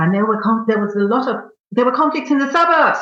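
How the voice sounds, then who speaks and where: A woman with a fairly high voice speaks with vocal fry, and some room echo can be heard. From Nigeria (Lagos). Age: 60s. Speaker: novelist. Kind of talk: interview conversation. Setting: podcast.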